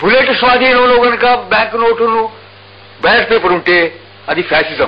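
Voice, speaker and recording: Over noticeable background noise, a man with a Telangana accent talks at an extremely high pitch and very even loudness. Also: ordinary pitch variation. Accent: Telangana Telugu. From Warangal, Telangana, India. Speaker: poet and freedom fighter. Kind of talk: radio interview answer. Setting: radio interview.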